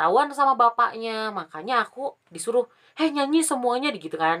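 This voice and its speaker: The pace here is fairly quick. It comes from a woman. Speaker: vlogger. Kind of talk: casual storytelling vlog. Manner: casual, chatty.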